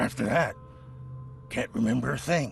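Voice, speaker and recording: A man puts on a raspy character voice at a moderate pace. Background noise is clear behind him. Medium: video game. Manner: nervous, defensive.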